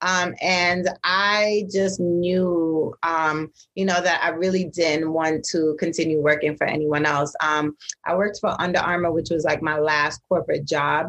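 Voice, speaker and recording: The woman's voice is fairly low in pitch with monotone, flat intonation. She speaks at a fairly slow pace. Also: very even loudness. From Brooklyn, New York (born in Jamaica). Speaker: entrepreneur and designer. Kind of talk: casual interview.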